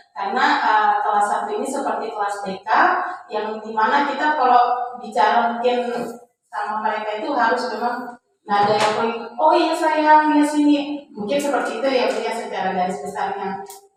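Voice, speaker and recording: A woman at a fairly high pitch and moderate pace, ordinary pitch variation, with audible room echo. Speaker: primary school teacher. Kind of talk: group discussion. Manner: halting.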